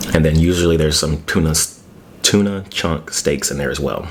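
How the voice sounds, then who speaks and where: Noticeable background noise surrounds a man with a very deep, low pitch and fairly even intonation. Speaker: ASMR mukbang creator. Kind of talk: casual talk to camera while eating. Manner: casual, chatty, conversational.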